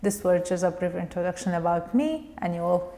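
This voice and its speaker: A woman with a Kurdish accent, over noticeable background noise. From Kurdistan region of Iraq, Koya. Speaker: web developer and interpreter. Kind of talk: pre-recorded video introduction.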